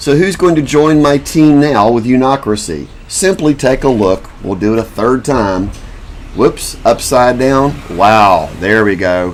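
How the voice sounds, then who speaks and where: A man with medium pitch talks at a fairly slow pace with lively intonation. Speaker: self-made video commentator and inventor. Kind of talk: casual monologue to camera.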